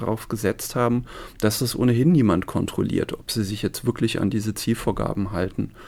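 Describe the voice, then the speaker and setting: A plain, everyday voice from a man, medium-pitched, at a moderate pace with ordinary pitch variation. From Saarland, Germany (village near Neunkirchen). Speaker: sociology professor. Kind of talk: interview. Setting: studio.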